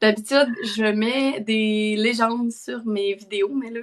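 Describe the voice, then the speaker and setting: A woman speaks at a very slow pace in a strong Quebec accent. Her pitch is fairly high and her intonation fairly even. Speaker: parenting content creator. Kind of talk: live stream interview chat. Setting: online live stream.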